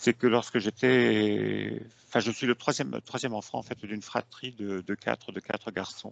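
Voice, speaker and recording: Speaking very slowly with lively intonation, a man with a fairly low pitch comes through in a dry, close sound with no echo. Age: 70s. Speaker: hypnosis client. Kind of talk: testimony. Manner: halting, many fillers.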